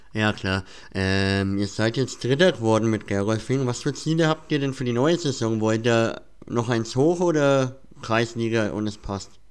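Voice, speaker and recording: A man talks in an unremarkable speaking voice, medium in pitch with ordinary pitch variation, at a fairly slow pace. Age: 20s. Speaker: podcast host. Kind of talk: casual interview.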